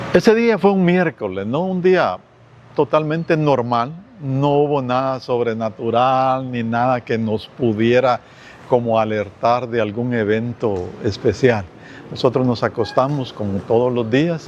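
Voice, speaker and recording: A man speaks at a fairly slow pace, his medium pitch rising and falling in an ordinary way. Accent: Guatemalan. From Guatemala, Guastatoya. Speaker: earthquake survivor. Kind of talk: testimony.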